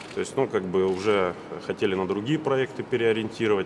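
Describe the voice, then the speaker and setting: A man with a fairly low pitch and ordinary pitch variation is heard over noticeable background noise. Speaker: factory engineer. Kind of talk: formal question at meeting. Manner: halting.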